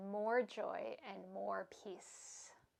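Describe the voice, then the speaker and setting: A soft-spoken woman's voice at a medium pitch. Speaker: yoga instructor. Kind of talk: yoga class instruction; guided meditation. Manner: slow.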